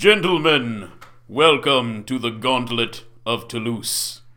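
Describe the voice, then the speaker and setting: A man does a booming, put-on character voice at a medium pitch with ordinary pitch variation. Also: fairly slow pace. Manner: majestic, grand, welcoming.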